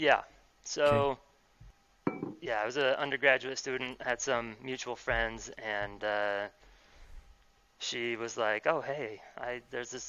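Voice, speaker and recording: With a Utah accent, a man talks at a medium pitch and a fairly slow pace, leaving long, frequent pauses. His intonation stays fairly even, and there is noticeable background noise. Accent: Utah American. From Utah, Salt Lake City (West Valley City). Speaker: electrical engineer, amateur cyclist. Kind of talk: casual chat. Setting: video call.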